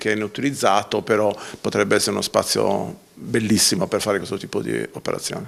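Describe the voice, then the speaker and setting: Vocal fry runs through a man's voice as he speaks at a fairly quick pace. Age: 60s. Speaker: artisan association organizer. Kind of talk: TV interview. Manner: halting, many fillers.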